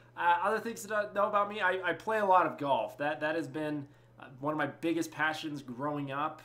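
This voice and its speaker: Speaking at a fairly quick pace with a General American accent, a man shows ordinary pitch variation. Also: fairly high pitch for a man. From Colorado. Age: 20s. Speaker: gaming YouTuber. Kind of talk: casual vlog monologue. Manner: hesitant, repeats words; rambling, unscripted.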